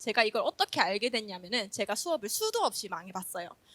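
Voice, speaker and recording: Heard in a dry, close sound with no echo, a woman speaks at a fairly quick pace with lively intonation. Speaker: elementary school teacher. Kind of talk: conference presentation. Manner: fast when nervous; humorous, lively.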